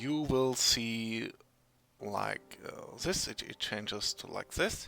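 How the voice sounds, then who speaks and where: A man with a German accent at a very slow pace, with big swings in loudness. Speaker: software tutorial maker. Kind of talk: tutorial. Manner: halting, many fillers and restarts.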